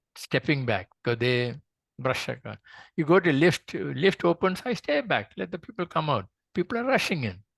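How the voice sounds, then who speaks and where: A man speaks at a moderate pace with a fairly high pitch, very wide pitch swings and vocal fry, in a dry, close sound with no echo. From Kerala, India. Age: 70s. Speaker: doctor. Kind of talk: interview. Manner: halting.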